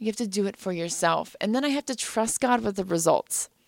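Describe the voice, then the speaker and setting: In an American accent, a woman with a plain, everyday voice speaks at a fairly quick pace, fairly high in pitch with ordinary pitch variation. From US Midwest. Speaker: adoptive mother and pharmacist. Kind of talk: interview. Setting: studio.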